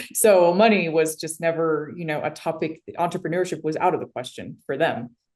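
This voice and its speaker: With an American accent and a plain, everyday voice, a woman talks at a fairly quick pace with a fairly low pitch, ordinary pitch variation and big swings in loudness. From US, immigrant family. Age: 30s. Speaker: tech company CEO. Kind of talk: interview.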